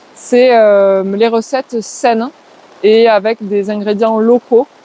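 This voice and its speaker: Speaking with a slight southwestern French accent, a woman has a fairly high pitch, a dark, mellow tone and fairly even intonation, in a dry, close sound with no echo. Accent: slight southwest French. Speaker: forest garden trainer and community ecology worker. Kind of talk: interview. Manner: hesitant, many filler words.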